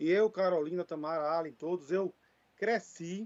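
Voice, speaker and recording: With a dry, close sound and no echo, a man speaks at a fairly slow pace in a high pitch with ordinary pitch variation. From Brazil, Recife (Pernambuco), Northeast. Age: 40s. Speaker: regional government consortium representative. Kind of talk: conference panel talk. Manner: halting, with fillers.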